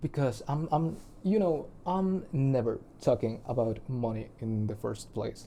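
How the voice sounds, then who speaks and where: Speaking at a very slow pace, a man has a non-native accent. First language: not English. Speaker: musician and video blogger. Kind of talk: personal video diary monologue. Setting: recording alone to camera. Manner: halting, with many fillers and restarts; shy.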